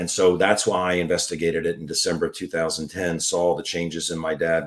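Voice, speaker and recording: Talking at a fairly quick pace with hardly any pauses, a man uses a very deep, low voice and monotone, flat intonation. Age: 60s. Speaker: foot surgeon promoting a health product. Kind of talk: interview. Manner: halting, repetitive.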